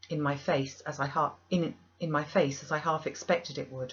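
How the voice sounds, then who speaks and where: Her voice is very deep and low for a woman, and somewhat breathy. The woman speaks at a moderate pace. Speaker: audiobook reader. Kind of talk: audiobook narration of a classic novel.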